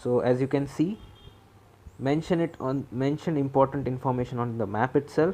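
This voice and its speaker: Speaking with a Marathi accent, a man keeps a moderate pace and fairly even intonation. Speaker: exam preparation mentor. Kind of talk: tutorial. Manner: casual, halting.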